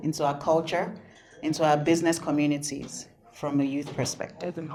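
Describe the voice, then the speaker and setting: A woman with a Nigerian accent speaks amid audible room echo. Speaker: panel moderator. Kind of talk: conference panel moderation. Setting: conference room with audience.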